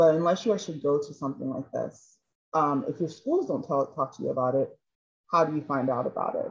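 A woman speaks at a very fast pace with lively intonation. Her pitch is very deep and low. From Chicago. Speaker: panel moderator. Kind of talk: panel discussion moderation. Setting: video call.

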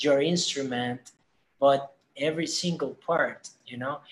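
A man speaks with a Spanish accent at a very slow pace. His fairly high voice is monotone and flat. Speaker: musician and band leader. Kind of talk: casual interview.

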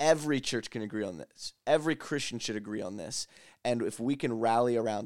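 On a very clean recording with a silent background, a man with an American accent uses an ordinary speaking voice at medium pitch with ordinary pitch variation. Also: dry, close sound with no echo. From Lancaster County, Pennsylvania, US. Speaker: ministry leader. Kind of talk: casual chat.

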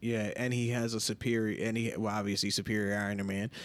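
Speaking quickly with an American accent, a man keeps a fairly low pitch and a monotone, flat intonation. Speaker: podcast host. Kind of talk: casual banter podcast chat.

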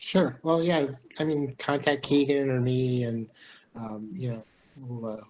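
A man with a normal speaking voice talks with an American accent at medium pitch and a fairly slow pace. His intonation is fairly even, and the recording is very clean with a silent background. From Detroit, Michigan. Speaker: programmer. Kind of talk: casual chat.

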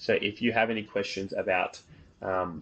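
With an Australian accent, a man talks over a quiet background. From northern beaches of Sydney, Australia. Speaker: podcast host, physics student. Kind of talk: casual interview. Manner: halting, many fillers.

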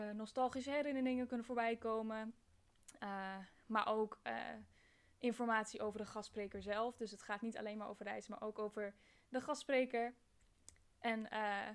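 Speaking at a moderate pace with long, frequent pauses, a woman uses a fairly high pitch and fairly even intonation. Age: 20s. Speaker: podcast host, university student. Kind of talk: podcast trailer monologue. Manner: hesitant, many filler sounds.

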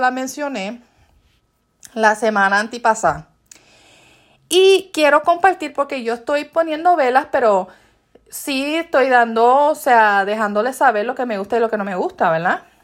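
Animated in tone, a woman speaks at a high pitch with lively intonation. The recording is very clean, and the background silent. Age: 40s. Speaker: podcast host. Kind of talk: casual monologue.

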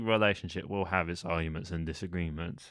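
This man talks at a fairly quick pace. The sound is dry and close with no echo, in a very clean recording with a silent background. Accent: London. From England, East London. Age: 20s. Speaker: podcast co-host. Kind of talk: casual chat. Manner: hesitant.

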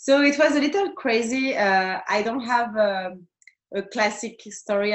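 A woman with a French accent talks at a fairly slow pace in a fairly high pitch. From France. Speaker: tattoo artist. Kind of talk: interview.

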